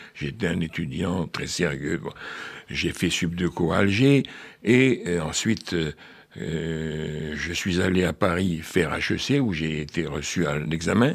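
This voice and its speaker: Very slowly and with lively intonation, a man speaks in a very deep, low pitch on a very clean recording with a silent background. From Algeria (French pied-noir). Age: 80s+. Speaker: author. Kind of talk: radio interview.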